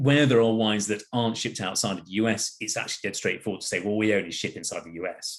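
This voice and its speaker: With an English accent, a man speaks at a very fast pace with hardly any pauses. His voice sits fairly low. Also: ordinary pitch variation. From England. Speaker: wine platform executive. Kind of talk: product presentation. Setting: video call.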